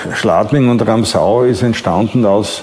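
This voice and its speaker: A man talks over noticeable background noise. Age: 70s. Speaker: former dancer and marketing man. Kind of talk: interview testimony. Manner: halting.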